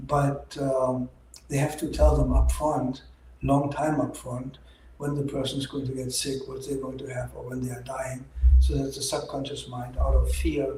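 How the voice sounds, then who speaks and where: With a German accent, a man speaks at a moderate pace with big swings in loudness, and audible room echo can be heard. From Germany. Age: 60s. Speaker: doctor. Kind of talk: opinion monologue.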